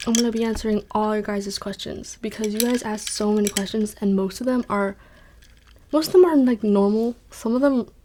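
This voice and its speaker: This woman is soft-spoken. Her tone is dark and mellow. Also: fairly high pitch for a woman, ordinary pitch variation. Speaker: ASMR content creator. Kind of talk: ASMR Q&A with soft-spoken triggers. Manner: animated.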